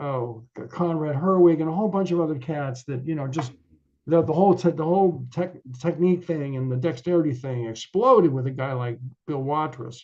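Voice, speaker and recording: With an American accent, an ordinary speaking voice runs at a fairly quick clip, its pitch rising and falling in a typical way. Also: man, fairly high pitch for a man. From Connecticut, US. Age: 60s. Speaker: jazz musician and professor. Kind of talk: interview. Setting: video call.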